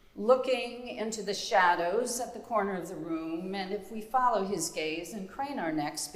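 Intonation here is lively. The reading voice sounds natural.

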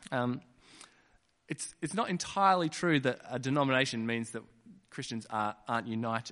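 A man with an Australian accent, bright, sharp tone and ordinary pitch variation, at a moderate pace with long, frequent pauses, against a quiet background. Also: medium pitch for a man. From Western Australia (Kununurra). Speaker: preacher. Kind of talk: sermon.

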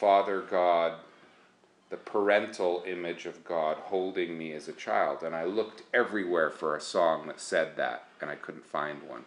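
In an unremarkable speaking voice, a man talks fairly slowly at a fairly low pitch. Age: 40s. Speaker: worship leader and songwriter. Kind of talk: casual interview. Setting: at his home.

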